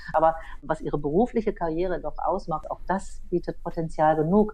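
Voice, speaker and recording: Speaking at a moderate pace in a normal speaking voice, a woman has a fairly low pitch. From Berlin, Germany. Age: 50s. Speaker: photographer and online editor. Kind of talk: casual discussion. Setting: remote line.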